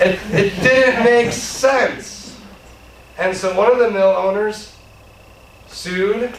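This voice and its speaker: A man with a high pitch speaks loudly at a very slow pace, with fairly even intonation and long, frequent pauses. Audible room echo and noticeable background noise are present. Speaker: legal speaker on constitutional law. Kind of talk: lecture.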